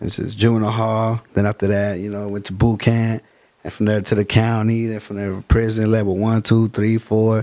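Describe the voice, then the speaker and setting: Fairly quick pace, monotone, flat intonation, and big swings in loudness. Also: man, fairly low pitch for a man. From Fresno, California (born East LA). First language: Spanish. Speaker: rapper. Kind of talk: casual interview. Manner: casual slangy street talk.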